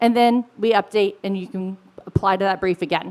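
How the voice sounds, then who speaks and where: Ordinary pitch variation marks the speech. It moves along fairly quickly. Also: woman. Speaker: product director. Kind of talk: conference presentation. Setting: stage with audience. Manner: fast.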